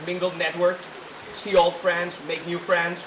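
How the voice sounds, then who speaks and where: In a high voice with a Greek accent, a man talks over noticeable background noise and audible room echo. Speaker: student club president. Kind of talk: reception speech. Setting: reception at private estate, with audience. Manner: halting, many fillers.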